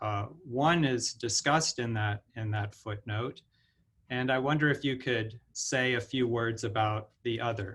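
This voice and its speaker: Speaking at a fairly slow pace, a man has an unremarkable speaking voice, a medium pitch and ordinary pitch variation. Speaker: professor, event moderator. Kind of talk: moderator question in Q&A.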